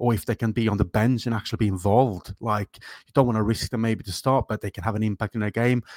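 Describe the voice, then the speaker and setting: With an unremarkable speaking voice, a man speaks at a medium pitch with fairly even intonation, recorded very cleanly against a silent background in a dry, close sound with no echo. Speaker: Liverpool fan podcast co-host. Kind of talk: casual chat.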